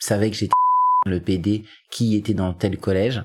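A man talks on a very clean recording against a silent background. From Paris suburbs (Seine-Saint-Denis). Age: 30s. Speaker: podcast interviewee. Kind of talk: personal testimony. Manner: hesitant.

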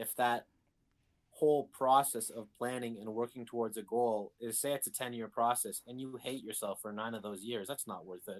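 With a normal speaking voice at medium pitch, a man talks at a fairly quick pace with fairly even intonation. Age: 20s. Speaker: podcast guest. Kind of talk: casual chat.

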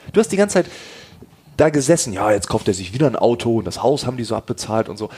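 A man's medium-pitched voice at a very fast pace, with very wide pitch swings and noticeable background noise. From East Frisia, northern Germany. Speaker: podcast host. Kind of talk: interview.

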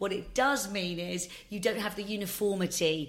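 Hers is an unremarkable speaking voice, a woman's at medium pitch with fairly even intonation. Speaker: drinks company founder. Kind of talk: interview.

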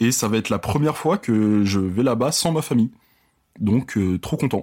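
A man speaks in a normal speaking voice at a medium pitch. His intonation is lively. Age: 20s. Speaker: audiovisual worker, podcast guest. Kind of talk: casual chat.

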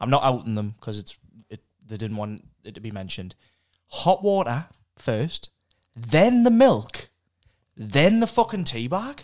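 A man with a northeast England accent speaks at a fairly slow pace and a medium pitch, his loudness swinging widely, his pitch ranging very widely, with long, frequent pauses. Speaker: podcast host. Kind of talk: casual chat.

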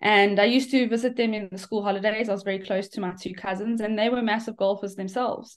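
Very fast, monotone, flat delivery from a woman. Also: fairly high pitch for a woman. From South Africa. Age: 30s. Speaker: professional golfer. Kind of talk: interview. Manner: halting, many fillers.

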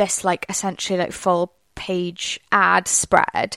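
On a very clean recording with a silent background and a dry, close sound with no echo, a woman with a Welsh accent speaks at medium pitch and a fairly slow pace. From Wales. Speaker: PR podcast host. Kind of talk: solo podcast monologue, casual. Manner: chatty, conversational.

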